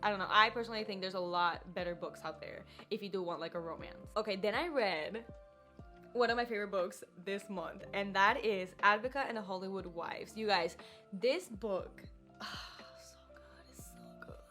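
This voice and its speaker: A woman with a Spanish accent speaks at a medium pitch, varying it in an ordinary way, with big swings in loudness. Music plays behind her. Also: moderate pace. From Puerto Rico. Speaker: book YouTuber. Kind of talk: casual talk to camera.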